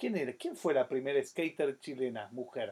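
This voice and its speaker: A man is speaking. His pace is moderate. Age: 40s. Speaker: skateboarding show host. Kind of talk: casual live-stream chat.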